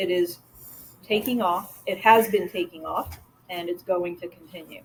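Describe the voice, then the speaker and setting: The woman here has an unremarkable speaking voice. She speaks at a moderate pace. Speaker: marketing partner at a mortgage firm. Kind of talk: presentation.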